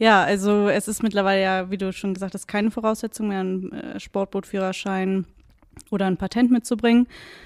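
A woman speaks at a fairly quick pace and medium pitch in a monotone, flat intonation. The recording is very clean with a silent background and a dry, close sound with no echo. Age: 30s. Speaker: water police officer. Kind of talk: interview. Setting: police station. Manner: hesitant with fillers.

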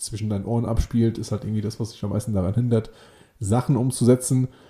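Speaking in a flat monotone, a man has a medium pitch and a dark, mellow tone. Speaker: podcast co-host. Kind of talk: casual chat.

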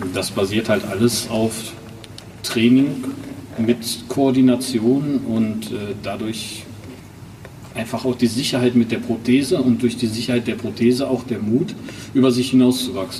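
Over noticeable background noise, a man speaks at a fairly slow pace and medium pitch with fairly even intonation and long, frequent pauses. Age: 30s. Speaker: prosthesis wearer and athlete. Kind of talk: casual chat.

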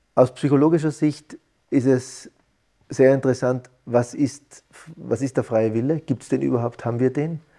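This man's voice has a dark, mellow tone, medium pitch, fairly even intonation and a moderate pace. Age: 40s. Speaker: psychologist. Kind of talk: interview. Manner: halting.

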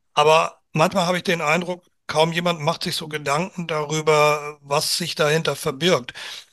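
A man speaks in a monotone, flat intonation with a bright, sharp tone. His pitch is fairly high. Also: moderate pace. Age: 60s. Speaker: amateur football club chairman. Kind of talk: casual interview chat.

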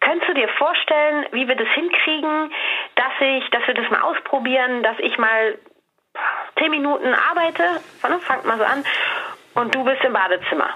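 Her pitch is high and her intonation lively, with very even loudness. The woman keeps a moderate pace but leaves long, frequent pauses. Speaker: communication coach. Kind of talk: advice conversation. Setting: at home, remote call.

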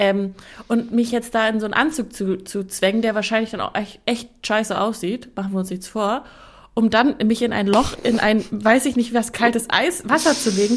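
At a moderate pace, a woman with a fairly high pitch speaks in an unremarkable speaking voice with ordinary pitch variation. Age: 20s. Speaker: podcast co-host. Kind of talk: casual chat. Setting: video call.

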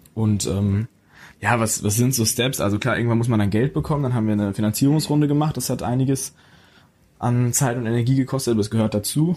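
He speaks at a very fast pace with very even loudness. The man's voice has a dark, mellow tone. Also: medium pitch for a man, ordinary pitch variation. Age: young. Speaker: young startup founder. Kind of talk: interview.

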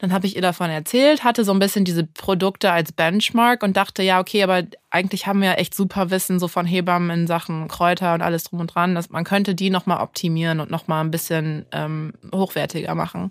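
In a very clean recording with a silent background, a woman with an unremarkable speaking voice talks at a fairly quick pace, her pitch fairly low and her intonation fairly even. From Düsseldorf, Germany and Santa Barbara, California. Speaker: start-up founder. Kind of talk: interview.

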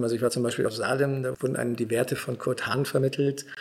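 Background noise is clearly audible as a man rattles off his words very fast with flat, monotone intonation. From Germany, rural village. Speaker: real estate investor. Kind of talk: casual interview.

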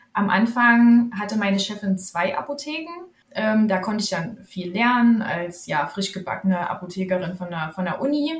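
There is noticeable background noise behind a woman speaking at a fairly high pitch. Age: 30s. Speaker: pharmacist and author. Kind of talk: podcast interview.

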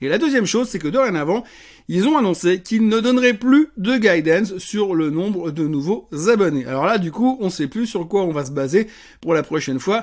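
Over a quiet background, a man with a high pitch makes very wide pitch swings. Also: moderate pace. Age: 50s. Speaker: financial markets commentator. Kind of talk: solo market commentary video. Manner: casual, conversational.

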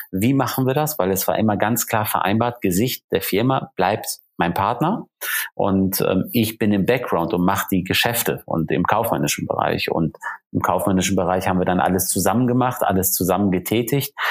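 A man with a normal speaking voice and a fairly low pitch talks at a moderate pace, with ordinary pitch variation and very even loudness. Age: 40s. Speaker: luxury car dealer and TV motoring presenter. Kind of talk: podcast interview.

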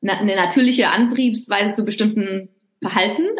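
This voice belongs to a woman and sits fairly high in pitch. It varies in pitch to an ordinary degree. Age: 40s. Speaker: author. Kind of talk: interview. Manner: hesitant with fillers.

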